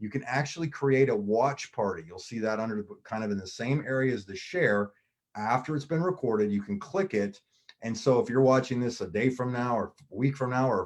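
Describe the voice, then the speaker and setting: In an American accent, a man talks at a fairly quick pace, his medium pitch showing ordinary variation. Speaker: MLM business presenter. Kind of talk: sales pitch. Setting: live online video stream. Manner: fast.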